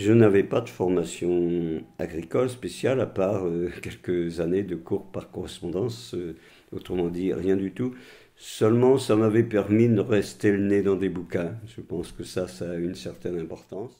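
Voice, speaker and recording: This man's pitch is very deep and low. His tone is dark and mellow. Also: ordinary pitch variation. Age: 80s+. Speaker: retired farmer. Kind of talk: testimony.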